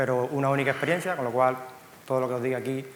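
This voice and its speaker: Amid noticeable background noise and audible room echo, a man with a Cuban accent speaks at a very fast pace. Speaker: software company co-founder. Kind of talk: conference talk. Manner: halting, frequent fillers and repeats.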